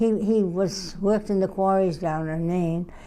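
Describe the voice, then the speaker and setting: A woman with a medium pitch and a dark, mellow tone talks at a moderate pace with fairly even intonation. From New England. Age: 90s. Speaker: interviewee. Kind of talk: interview. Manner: halting.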